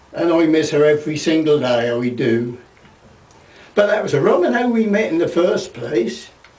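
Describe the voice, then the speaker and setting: Noticeable background noise surrounds a man speaking at a moderate pace with a Norfolk accent. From Norfolk, England. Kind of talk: storytelling to camera.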